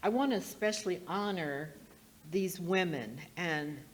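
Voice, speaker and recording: In a room with audible echo, a woman with an American accent speaks in a fairly low voice at a very slow pace. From US West Coast (Portland, Oregon). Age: 70s. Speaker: speaker at a heritage event. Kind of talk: public talk at an event.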